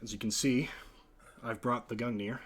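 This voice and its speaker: In a raspy, put-on character voice of medium pitch, a man talks at a moderate pace on a very clean recording with a silent background. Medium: actual play. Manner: cool, curt, superior.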